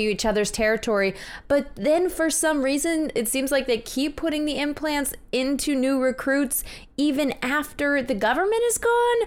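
Recorded very cleanly against a silent background, a woman talks at a moderate pace with lively intonation and a playful tone. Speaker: podcast host. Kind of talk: casual chat. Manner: joking, playful.

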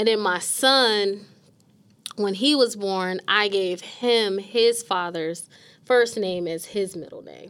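At a very slow pace, a woman with an American accent talks at medium pitch with ordinary pitch variation. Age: 30s. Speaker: podcast co-host, mortgage professional. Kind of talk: casual chat. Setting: studio.

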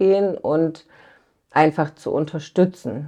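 This is a woman with a very deep, low pitch. Her pitch varies in an ordinary way. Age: 30s. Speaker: family companion in children's hospice service. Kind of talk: interview.

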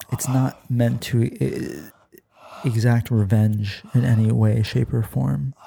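A medium-pitched man speaks at a very slow pace with a soothing tone. His loudness stays very even, and long pauses come often. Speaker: podcast host. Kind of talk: guided meditation parody, ASMR-style. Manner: soft-spoken, soothing, slow; deadpan, absurd calm delivery.

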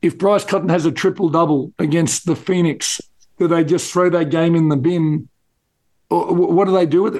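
With an Australian accent, a man speaks at a high pitch and very even loudness. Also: fairly even intonation, moderate pace. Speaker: basketball podcast co-host. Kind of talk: casual chat.

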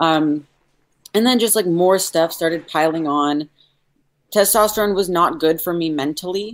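A woman speaks with a fairly low pitch and ordinary pitch variation. She leaves long, frequent pauses. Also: moderate pace. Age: 20s. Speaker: detransitioner guest. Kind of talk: casual interview conversation. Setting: video call livestream.

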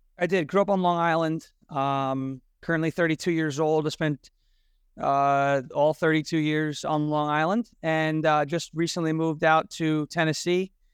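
A man with a New York accent speaks in a fairly high voice at a moderate pace, his loudness very even, over a quiet background. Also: fairly even intonation. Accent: New York, Trump-like. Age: 30s. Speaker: Trump impersonator and show host. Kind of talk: casual interview chat.

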